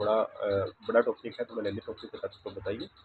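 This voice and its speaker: A man speaks quietly. His pace is fairly quick. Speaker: physics teacher. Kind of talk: lecture.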